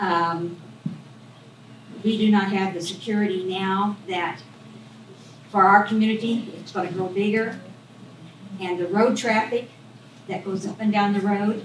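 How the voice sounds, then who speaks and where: The voice moves at a fairly slow pace with fairly even intonation, set against noticeable background noise and audible room echo. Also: woman. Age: 80s+. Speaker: resident speaking at public meeting. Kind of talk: public comment. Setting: public meeting.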